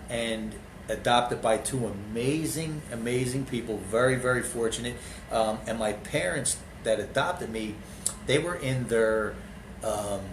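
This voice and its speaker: There is audible room echo and noticeable background noise. A man with an East Coast US accent speaks at a medium pitch. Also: ordinary pitch variation, fairly slow pace. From US East Coast, Philadelphia/New Jersey area. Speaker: motivational speaker and entrepreneur. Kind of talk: interview conversation.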